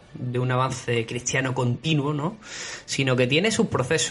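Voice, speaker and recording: A man with an Andalusian accent talks at a moderate pace. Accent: Andalusian (Málaga). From southern Spain, Málaga. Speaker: history podcast host. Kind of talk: history podcast narration. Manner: hesitant, many fillers.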